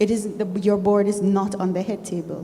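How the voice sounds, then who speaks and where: A woman at a medium pitch and moderate pace, a plain, everyday voice. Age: 60s. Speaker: shareholder at annual meeting. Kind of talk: public comment at meeting. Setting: annual general meeting in a room. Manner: formal.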